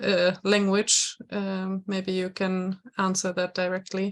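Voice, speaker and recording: A woman speaks with a German accent. Her pitch is medium. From Germany. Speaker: programme coordinator moderating a webinar. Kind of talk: webinar moderation.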